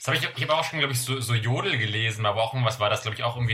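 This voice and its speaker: A man speaks at a medium pitch. Noticeable background noise runs behind him. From Germany, various places. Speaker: podcast co-host. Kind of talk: casual chat. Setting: remote call.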